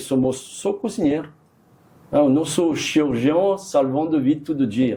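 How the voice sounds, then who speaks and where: At a fairly slow pace, a man with a fairly high voice and a dark, mellow tone speaks with ordinary pitch variation. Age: 60s. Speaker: chef. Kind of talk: interview. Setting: studio. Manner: halting, with repetitions and fillers.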